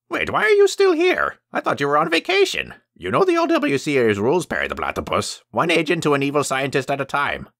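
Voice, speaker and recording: Using a put-on character voice, a man talks at a fairly quick pace with hardly any pauses on a very clean recording with a silent background. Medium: voice reel. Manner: rambling, theatrical.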